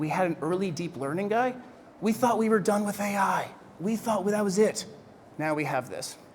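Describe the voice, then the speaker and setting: Audible room echo surrounds a man's voice. He talks at a fairly quick pace with lively intonation. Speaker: keynote speaker on freelancing. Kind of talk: keynote speech. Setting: stage with audience. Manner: animated, conversational.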